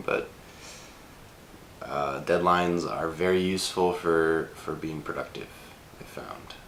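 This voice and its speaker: Through noticeable background noise and audible room echo, a man with a very deep, low pitch talks at a moderate pace. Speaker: screenwriter vlogger. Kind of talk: casual vlog. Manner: halting, many fillers.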